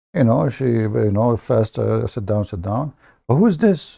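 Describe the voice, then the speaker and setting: Against a quiet background, a man with an Arabic accent speaks at a moderate pace, his medium-pitched voice dark and mellow with lively intonation. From Middle East. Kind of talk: live stream commentary.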